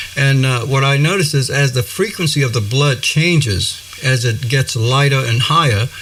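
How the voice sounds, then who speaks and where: A man with very even loudness and hardly any pauses, against noticeable background noise. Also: ordinary pitch variation, moderate pace. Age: 60s. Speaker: breatharian spiritual teacher. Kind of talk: interview. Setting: studio. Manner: halting, many fillers.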